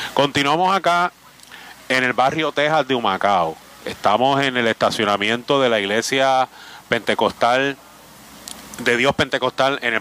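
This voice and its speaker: A man speaks at a moderate pace and medium pitch with ordinary pitch variation, the sound dry and close with no echo, over noticeable background noise. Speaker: radio host. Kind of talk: live remote radio interviews. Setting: outdoor remote broadcast at a flea market.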